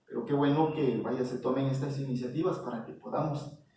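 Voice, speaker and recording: A man speaks in a fairly high voice, his pitch varying in an ordinary way, with audible room echo around him. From Mexico, Oaxaca (Isthmus). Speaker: visual artist. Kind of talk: interview. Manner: hesitant, many fillers.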